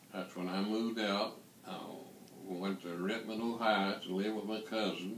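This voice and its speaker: Over noticeable background noise and audible room echo, a man with a fairly low pitch speaks at a moderate pace in a flat monotone. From eastern Kentucky / West Virginia border. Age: 80s+. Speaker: war veteran. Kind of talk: interview.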